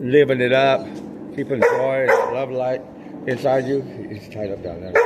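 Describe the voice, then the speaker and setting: Over noticeable background noise, a man talks at a moderate pace with a medium pitch. His pitch varies in an ordinary way, while his loudness swings widely. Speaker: motivational vlogger. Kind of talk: motivational monologue. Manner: animated.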